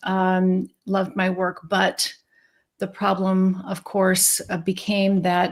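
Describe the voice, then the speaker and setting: A somewhat breathy woman's voice at medium pitch. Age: 60s. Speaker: psychiatrist. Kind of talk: interview.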